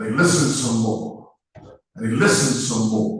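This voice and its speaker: Audible room echo surrounds a man speaking at a moderate pace and a medium pitch. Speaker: motivational speaker, peer support facilitator. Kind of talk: motivational speech. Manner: loud, animated.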